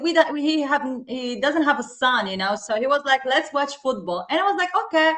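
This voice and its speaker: A woman's raised, projected voice, high-pitched and bright and sharp in tone, with a non-native accent at a moderate pace. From Tunisia. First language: not English. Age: 30s. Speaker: football podcast co-host. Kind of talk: casual chat. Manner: animated.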